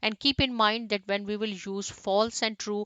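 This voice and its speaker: A woman with an unremarkable speaking voice, medium pitch and a moderate pace. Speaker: programming instructor. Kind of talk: tutorial.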